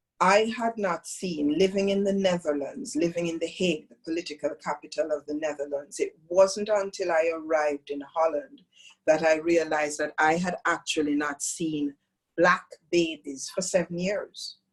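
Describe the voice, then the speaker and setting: Speaking with a Jamaican accent, a woman talks at a moderate pace in a fairly low pitch with ordinary pitch variation. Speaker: yoga teacher. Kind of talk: talk to a training group.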